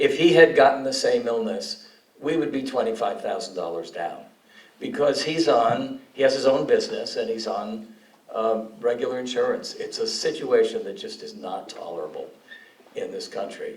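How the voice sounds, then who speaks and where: A man's voice with big swings in loudness, audible room echo and noticeable background noise. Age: 70s. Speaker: town hall attendee. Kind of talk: public question at town hall. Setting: town hall meeting with audience.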